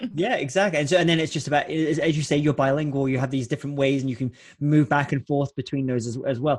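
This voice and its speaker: Speaking very fast, a man with a Scottish accent has a fairly high pitch. His voice is somewhat breathy, with fairly even intonation. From Scotland, Lowlands. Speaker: podcast host, keynote speaker. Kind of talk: interview podcast.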